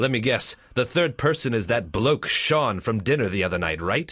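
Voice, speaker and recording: A man performs a put-on character voice at a medium pitch and a moderate pace. His pitch swings very widely. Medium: stage play. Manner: earnest melodramatic.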